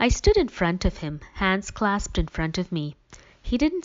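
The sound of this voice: The clip features an unforced reading voice.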